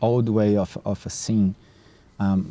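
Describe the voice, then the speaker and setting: A man with a Brazilian Portuguese accent speaks at a fairly low pitch in a dark, mellow tone. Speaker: nature mentor and program founder. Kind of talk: podcast interview. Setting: outdoors in a park. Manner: halting, repeats words.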